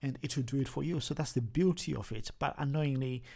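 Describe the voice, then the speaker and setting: In a very clean recording with a silent background, a man speaks with a strong Zimbabwean accent and vocal fry. His pace is fairly quick, with ordinary pitch variation. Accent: thick Zimbabwean. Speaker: language learning vlogger. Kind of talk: tutorial. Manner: halting, many repetitions.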